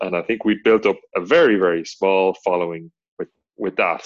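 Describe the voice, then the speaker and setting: An Irish accent in a dry, close sound with no echo. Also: man. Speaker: podcast co-host, online content creator. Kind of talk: casual chat.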